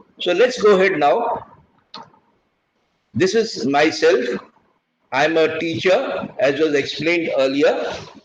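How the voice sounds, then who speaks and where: Lively in intonation, a man speaks at a high pitch and fairly slow pace amid audible room echo. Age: 70s. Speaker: retired naval officer and teacher. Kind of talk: lecture.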